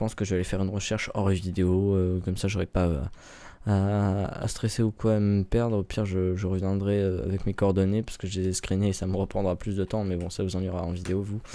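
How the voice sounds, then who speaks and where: The recording is very clean, with a silent background. A man with a fairly low pitch and a dark, mellow tone talks at a fairly quick pace with fairly even intonation. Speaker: gaming youtuber. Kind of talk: gameplay commentary. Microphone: close to the mic.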